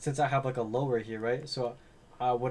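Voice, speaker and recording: A man's somewhat breathy voice at medium pitch, flat and monotone, at a very fast pace. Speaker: day trading instructor. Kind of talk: screen-share tutorial.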